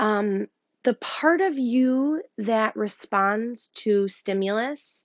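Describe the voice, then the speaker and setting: Speaking at a very slow pace with a Rochester accent, a woman at a fairly high pitch uses ordinary pitch variation. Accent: Rochester NY. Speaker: yoga teacher. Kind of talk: guided breathwork instruction. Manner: hesitant, many ums; calm, soothing.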